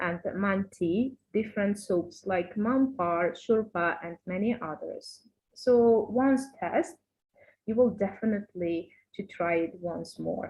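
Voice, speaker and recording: Very slowly, a woman speaks in a medium-pitched, somewhat breathy voice with an Uzbek accent. Her pitch varies in an ordinary way. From Uzbekistan. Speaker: university teacher. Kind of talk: lecture. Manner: halting, many fillers.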